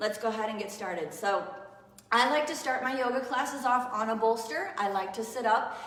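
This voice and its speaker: At a fairly quick pace, a woman talks with a warm tone at a fairly high pitch and ordinary pitch variation. Room echo is audible, along with noticeable background noise. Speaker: yoga teacher. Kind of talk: live online yoga class. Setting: live stream. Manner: casual, warm.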